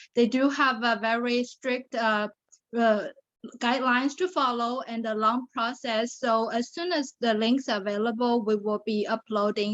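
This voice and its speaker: Speaking with a Chinese accent, a woman uses a fairly high pitch and fairly even intonation at a fairly slow pace. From China (Shanghai). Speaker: pageant titleholder and survivor advocate. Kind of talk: interview testimony.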